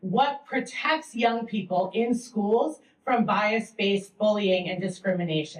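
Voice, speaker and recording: Here a woman talks with an American accent. Her pace is moderate. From Massachusetts, US. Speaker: teacher and education researcher. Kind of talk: panel presentation. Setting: public library event with audience. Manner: loud.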